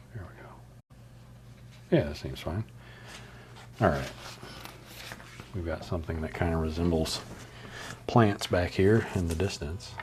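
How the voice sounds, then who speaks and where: Somewhat breathy and relaxed in tone, a man with a very deep, low pitch speaks at a moderate pace, with ordinary pitch variation, big swings in loudness and long, frequent pauses. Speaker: artist streamer. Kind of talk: casual live stream chat while painting. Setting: live stream. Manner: relaxed, casual.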